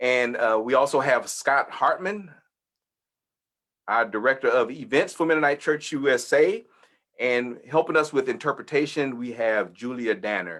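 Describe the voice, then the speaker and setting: A man speaks with a Texas accent and a fairly high pitch. His intonation is lively. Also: moderate pace. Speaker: church leader hosting webinar. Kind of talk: informational webinar presentation. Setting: video webinar.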